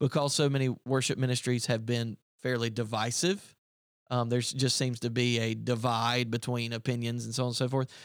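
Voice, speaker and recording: Monotone and flat, the speech comes fairly quickly in a Southern US accent. The recording is very clean, with a silent background. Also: man, medium pitch for a man. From upstate South Carolina. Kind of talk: casual chat. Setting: studio.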